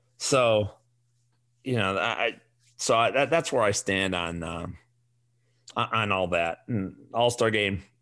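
In a very clean recording with a silent background, the speaker talks with a Chicago accent. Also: man. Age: 40s. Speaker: fantasy sports podcast host. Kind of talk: casual solo podcast monologue. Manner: animated.

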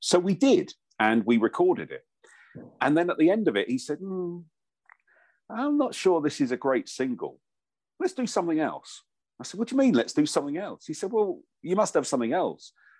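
A man with an English accent, high-pitched, with very wide pitch swings and a fairly quick pace, over a quiet background. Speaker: voiceover artist and former radio presenter. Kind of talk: casual chat.

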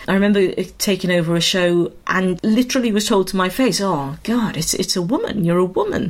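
Noticeable background noise sits under fairly quick speech that has hardly any pauses, very even loudness and ordinary pitch variation. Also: woman, medium pitch for a woman. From Wales, Swansea. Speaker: musical theatre director and drama school founder. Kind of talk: interview.

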